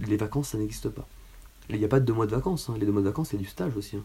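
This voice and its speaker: A man's fairly low, dark and mellow voice with vocal fry and fairly even intonation. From Paris region, France. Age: 20s. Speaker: physiotherapist. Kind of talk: casual chat.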